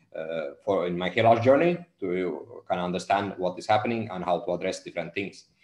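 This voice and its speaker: A man's fairly low voice at a moderate pace, with audible room echo and a quiet background. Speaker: hair loss coach. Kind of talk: live stream talk. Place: home room. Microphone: earbuds.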